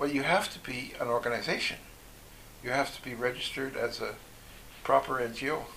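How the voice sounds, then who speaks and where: A man at a moderate pace, his intonation fairly even, with noticeable background noise. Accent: Canadian. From Canada, British Columbia (Okanagan Valley). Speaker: former overseas volunteer, economist. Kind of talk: interview.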